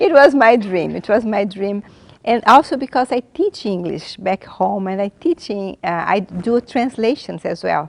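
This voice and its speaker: A woman speaks with a Brazilian Portuguese accent at a medium pitch. The sound is dry and close, with no echo. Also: lively intonation. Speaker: graduate student, English teacher. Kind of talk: interview testimony. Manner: halting.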